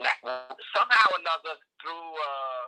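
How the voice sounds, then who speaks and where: A man with a New York accent is heard in a dry, close sound with no echo. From New York City, South Bronx. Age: 80s+. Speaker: nutrition and agriculture advocate. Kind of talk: interview.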